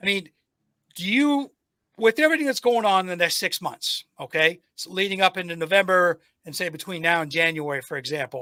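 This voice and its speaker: A high-pitched man in an American accent, with a raised, projected voice and a fairly quick pace. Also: lively intonation, dry, close sound with no echo. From United States. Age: 60s. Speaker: podcast host and military veteran. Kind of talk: casual interview conversation. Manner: halting with frequent fillers.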